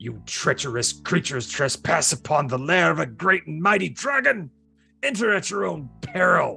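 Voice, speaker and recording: Faint music sits in the background as a man does a put-on character voice at a fairly high pitch and moderate pace. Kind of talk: grandiose. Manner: roaring.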